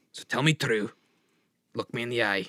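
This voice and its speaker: A raspy, put-on character voice from a man at a medium pitch and moderate pace. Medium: actual play. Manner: commanding.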